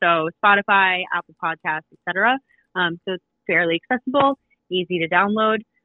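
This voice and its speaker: A woman talks in a plain, everyday voice at a moderate pace, her intonation lively. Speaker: podcast co-host. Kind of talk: casual chat.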